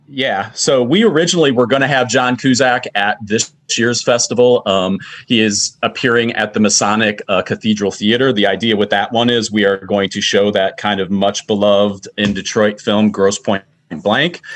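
This man has an unremarkable speaking voice, pitched fairly low, with ordinary pitch variation at a moderate pace. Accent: American. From Michigan, Macomb County. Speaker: film festival organizer. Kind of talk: casual interview.

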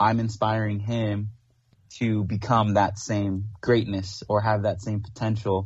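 In a quiet background, a man speaks at a fairly slow pace with monotone, flat intonation. His voice is fairly low in pitch and somewhat breathy. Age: 20s. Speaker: aspiring paramedic. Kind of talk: casual chat.

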